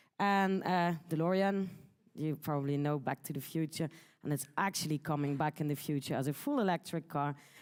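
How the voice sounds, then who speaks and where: The speaker is a woman. Her intonation is lively. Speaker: conference speaker. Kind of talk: conference talk. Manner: fast.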